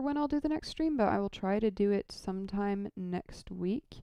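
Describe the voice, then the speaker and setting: A soft-spoken woman with a relaxed tone, medium pitch, ordinary pitch variation and a fairly slow pace. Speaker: lighting programmer streamer. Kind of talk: casual live stream tutorial. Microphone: audio too quiet.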